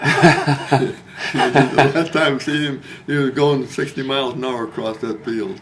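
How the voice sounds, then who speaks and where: Over noticeable background noise, a man speaks at a fairly slow pace in a fairly high pitch with fairly even intonation. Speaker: war veteran. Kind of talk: interview answer. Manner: storytelling.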